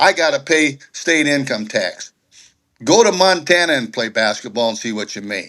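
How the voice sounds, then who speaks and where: Over a quiet background, a man with a fairly high pitch and a bright, sharp tone speaks at a moderate pace with very wide pitch swings. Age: 70s. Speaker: sports commentator on panel. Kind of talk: heated debate. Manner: animated.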